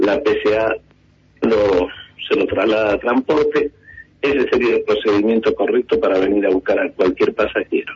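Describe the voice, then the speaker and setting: The speech moves at a moderate pace. Its loudness stays very even throughout. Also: man. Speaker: taxi drivers' union leader. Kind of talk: radio phone interview.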